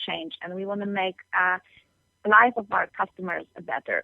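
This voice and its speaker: A woman's medium-pitched voice in a flat monotone. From Poland. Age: young. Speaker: entrepreneur. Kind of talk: interview. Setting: phone call.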